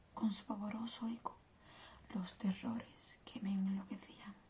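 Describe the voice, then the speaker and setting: Very slowly and in a flat monotone, a woman speaks with a dark, mellow, somewhat breathy tone. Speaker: ASMR content creator. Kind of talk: bedtime story reading, ASMR.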